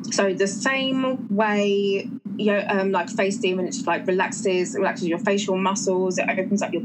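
There is noticeable background noise and audible room echo. A woman speaks at a moderate pace with an English accent. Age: 30s. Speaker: natural health practitioner. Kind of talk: interview.

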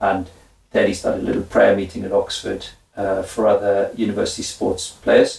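A man speaks with a Welsh accent. His pace is moderate. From Wales. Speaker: former professional footballer. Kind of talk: interview. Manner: animated.

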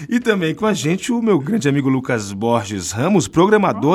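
This voice swings very widely in pitch, heard on a very clean recording with a silent background. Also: man. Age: 40s. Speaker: podcast host. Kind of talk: casual chat; scripted narration. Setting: studio.

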